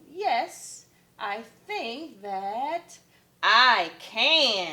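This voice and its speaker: A woman's raised, projected, put-on character voice at a fairly high pitch. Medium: read story. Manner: hesitant, timid.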